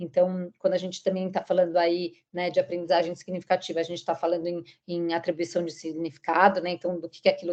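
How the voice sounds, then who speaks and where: A woman's fairly low, monotone, flat voice at a very fast pace, with big swings in loudness. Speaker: teacher trainer presenting school material. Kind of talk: training presentation. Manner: hesitant, many fillers.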